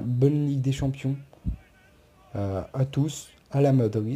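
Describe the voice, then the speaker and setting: A man speaks at a very slow pace, his pitch varying in an ordinary way. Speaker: football YouTuber. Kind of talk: casual commentary video. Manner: stammering.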